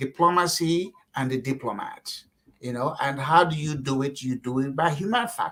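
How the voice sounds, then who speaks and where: With a Nigerian accent, a man speaks at a fairly high pitch with ordinary pitch variation. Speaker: political candidate. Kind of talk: interview. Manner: animated; repetitive false starts.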